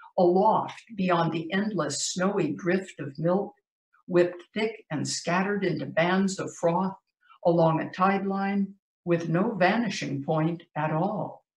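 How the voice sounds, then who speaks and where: In a quiet background with audible room echo, a woman with an American accent talks at a very slow pace and fairly even intonation. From US. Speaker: poet. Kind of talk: poetry reading. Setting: video call. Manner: measured, vivid, dramatic delivery; conversational, light-hearted between poems. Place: home room. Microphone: video call.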